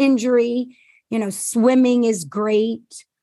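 A woman speaks in a normal speaking voice at a fairly slow pace. Her fairly high pitch follows fairly even intonation. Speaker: former physician assistant, health coach. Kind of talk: casual interview.

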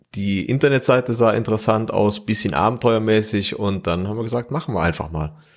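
The speaker uses a normal speaking voice with ordinary pitch variation. The pace is fairly quick. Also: man, fairly low pitch for a man, hardly any pauses. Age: 30s. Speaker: mechanical engineer and rally driver. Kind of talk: interview.

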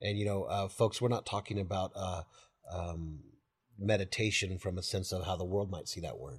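A man speaks with a very deep, low pitch and a somewhat breathy voice at a moderate pace. His intonation is fairly even, over a quiet background. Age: 40s. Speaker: pastor. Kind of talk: teaching discussion about the Bible. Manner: halting, many fillers.

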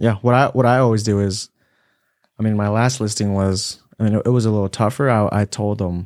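In a very clean recording with a silent background, a man with an unremarkable speaking voice talks fairly quickly, fairly low and with fairly even intonation. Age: 20s. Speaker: real estate agent. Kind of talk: casual chat.

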